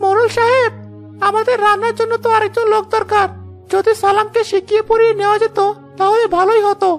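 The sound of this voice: A cartoonish character voice moves at a moderate pace, with clear music in the background.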